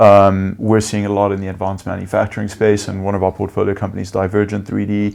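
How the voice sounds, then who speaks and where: A man with a South African accent speaks at a fairly low pitch. His intonation is monotone and flat, with hardly any pauses. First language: Afrikaans. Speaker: venture capital investor. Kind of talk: interview. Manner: hesitant with many fillers.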